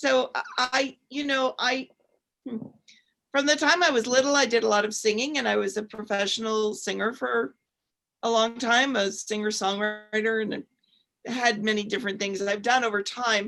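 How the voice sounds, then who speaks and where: A woman's bright, sharp tone at a moderate pace. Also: fairly high pitch for a woman, ordinary pitch variation. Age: 60s. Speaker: co-host, former professional singer. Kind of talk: panel discussion.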